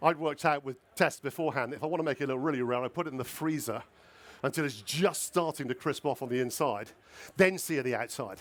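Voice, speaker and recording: This man has a fairly high pitch and an animated tone. He talks at a very fast pace with ordinary pitch variation. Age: 60s. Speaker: food writer and restaurateur. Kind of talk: live cooking demonstration.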